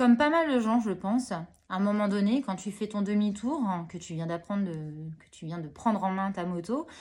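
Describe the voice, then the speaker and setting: A woman at a medium pitch and moderate pace, with lively intonation, big swings in loudness, and a very clean recording over a silent background. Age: 30s. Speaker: hospital worker and new motorcyclist. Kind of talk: interview. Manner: hesitant, many fillers.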